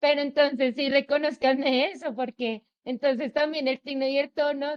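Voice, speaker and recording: This is a woman speaking. Her pace is moderate. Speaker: student. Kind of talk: class discussion.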